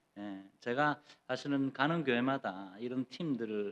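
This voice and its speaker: Medium in pitch with ordinary pitch variation, a man talks in an ordinary speaking voice. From Gyeongsang region, South Korea. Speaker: pastor. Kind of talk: sermon. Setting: church.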